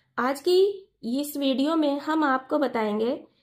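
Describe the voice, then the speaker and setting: A woman's high-pitched voice at a very slow pace. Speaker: sewing teacher. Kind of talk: tutorial.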